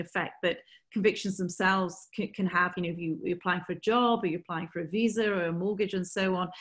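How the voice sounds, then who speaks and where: A woman speaks at a very fast pace with hardly any pauses, her medium-pitched voice somewhat breathy and fairly even in intonation. The background is quiet. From northern England. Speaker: barrister. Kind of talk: webinar lecture. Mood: serious, analytical. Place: home room. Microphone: webcam.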